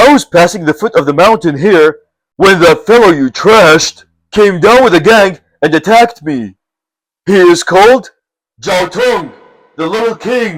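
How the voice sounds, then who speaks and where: Using a put-on character voice, a man talks in a high pitch at a moderate pace, stopping often for long pauses. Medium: read story. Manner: hearty and friendly.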